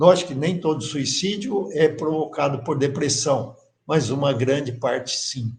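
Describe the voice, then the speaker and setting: Using a normal speaking voice, a man talks fairly slowly at a fairly high pitch with ordinary pitch variation. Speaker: course teacher. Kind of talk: lecture.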